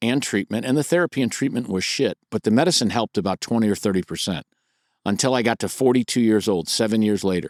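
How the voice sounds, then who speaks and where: Heard on a very clean recording with a silent background and a dry, close sound with no echo, a man uses a normal speaking voice at a fairly low pitch with ordinary pitch variation and a fairly quick pace. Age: 60s. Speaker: podcast co-host, author and OCD coach. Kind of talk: casual chat.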